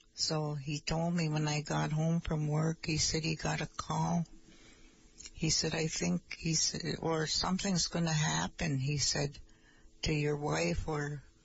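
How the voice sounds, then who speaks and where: A woman's very deep, low voice with an American accent, somewhat breathy, at a fairly slow pace, with very even loudness and fairly even intonation. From Nett Lake, northern Minnesota (Ojibwe reservation). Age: old. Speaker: Ojibwe language teacher, elder. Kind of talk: casual chat.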